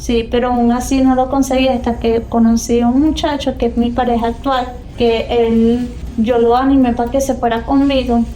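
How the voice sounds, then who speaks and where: A high-pitched woman with a Venezuelan accent, monotone flat intonation, very even loudness, noticeable background noise and audible room echo. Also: moderate pace. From Venezuela, San Cristóbal (Táchira). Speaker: immigrant telling her story. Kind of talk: interview testimony.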